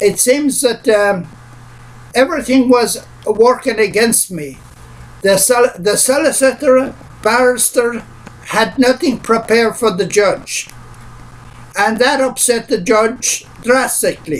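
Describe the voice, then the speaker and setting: Amid noticeable background noise, a man with an Irish accent speaks very slowly at an extremely high pitch, with ordinary pitch variation and long, frequent pauses. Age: 60s. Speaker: pensioner. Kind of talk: personal statement to camera. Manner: hesitant.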